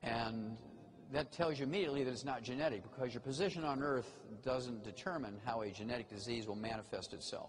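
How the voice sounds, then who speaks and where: Over noticeable background noise and audible room echo, a man talks at a fairly quick pace with a medium pitch and ordinary pitch variation. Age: 70s. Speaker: health lecturer. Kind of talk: lecture. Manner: animated.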